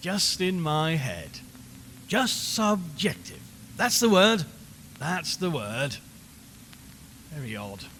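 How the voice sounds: A man puts on a character voice, fairly high in pitch with a fairly bright tone and big pitch swings. He goes at a slow pace with long, frequent pauses.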